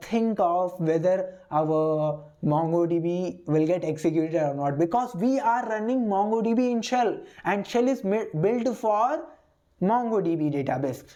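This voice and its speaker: Audible room echo surrounds speech that goes at a fairly slow pace with lively intonation. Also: woman, very even loudness. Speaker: programming instructor. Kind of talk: lecture. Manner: repetitive, hesitant with fillers.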